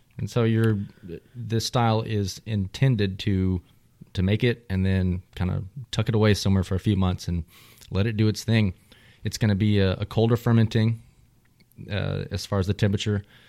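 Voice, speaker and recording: A man with a Texan accent speaks at a moderate pace in a fairly low pitch, with a dark, mellow tone, monotone, flat intonation, and long, frequent pauses. The recording is very clean with a silent background and a dry, close sound with no echo. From Texas. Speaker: beer podcast host. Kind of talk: casual chat.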